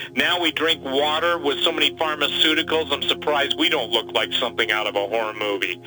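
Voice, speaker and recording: A man talks with lively intonation while noticeable background noise carries on behind him. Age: 60s. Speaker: preparedness guest on a prophecy program. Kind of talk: interview conversation. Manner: animated.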